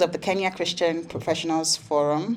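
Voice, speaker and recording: This woman has a Nigerian accent. Her pitch sits fairly low. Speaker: panel moderator. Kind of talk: conference panel moderation. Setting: conference room with audience.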